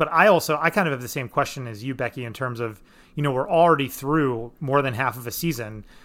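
On a very clean recording with a silent background, a man of medium pitch speaks at a fairly quick pace in a bright, sharp tone. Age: 30s. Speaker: podcast host. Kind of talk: casual chat.

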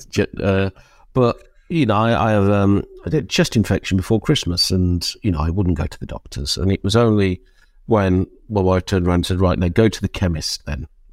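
In a British accent, a man speaks very deep and low at a fairly quick pace with ordinary pitch variation. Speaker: men's community charity leader. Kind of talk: interview. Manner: halting.

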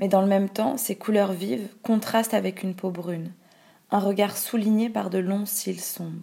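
A woman's somewhat breathy, dark, mellow voice at a medium pitch, with fairly even intonation and a fairly slow pace. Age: 20s. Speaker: activist narrator. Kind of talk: scripted narration.

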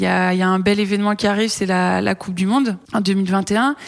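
A woman speaks at a moderate pace, her medium pitch showing ordinary variation. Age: 30s. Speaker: rugby player. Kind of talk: interview. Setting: rugby training centre. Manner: halting.

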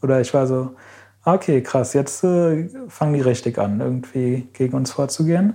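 The voice has a dark, mellow tone and ordinary pitch variation and moves at a moderate pace. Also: man, medium pitch for a man. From Berlin, Germany. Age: 20s. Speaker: climate activist. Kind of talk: interview.

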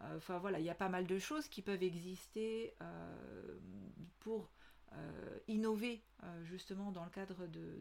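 Speaking at a fairly slow pace, a woman delivers her words. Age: 40s. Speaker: podcast host, business consultant. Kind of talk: solo podcast monologue. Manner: hesitant, many fillers.

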